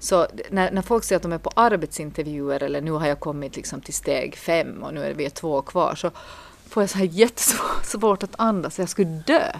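Her voice is fairly low for a woman and carries vocal fry. She speaks at a moderate pace with ordinary pitch variation. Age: 40s. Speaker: podcast co-host, priest. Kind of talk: casual chat.

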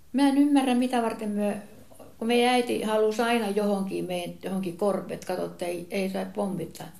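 A woman's medium-pitched voice at a moderate pace, with ordinary pitch variation and audible room echo. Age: 80s+. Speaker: relative of the grandfather. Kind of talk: casual reminiscing conversation.

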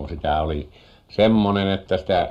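Vocal fry runs through a man's dark, mellow tone as he speaks at a fairly slow pace. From Finnish Lapland, Muonio. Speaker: farmer and fisherman. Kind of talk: radio interview.

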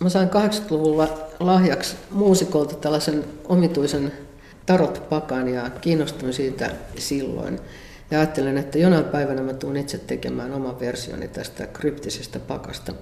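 A woman speaks at a fairly slow pace with ordinary pitch variation, and the room echo is audible. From Finland, Central Ostrobothnia. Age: 60s. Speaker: visual artist. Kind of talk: interview. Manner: casual, hesitant with fillers.

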